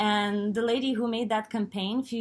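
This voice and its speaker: A somewhat breathy woman with a Lithuanian accent, fairly high in pitch, at a moderate pace against a quiet background. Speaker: podcast host. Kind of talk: interview.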